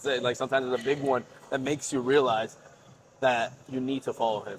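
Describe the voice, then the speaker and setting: A man with an American accent speaks at a very fast pace. His pitch is medium and his intonation monotone and flat. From Florida. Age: 20s. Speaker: university student. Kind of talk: casual podcast conversation. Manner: hesitant, filler-heavy.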